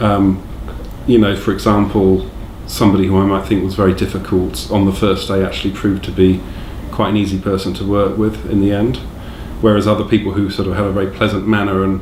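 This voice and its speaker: A man with an English accent at a fairly low pitch, very fast pace and fairly even intonation, amid noticeable background noise and audible room echo. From England. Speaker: direct support worker. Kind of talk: interview. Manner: halting.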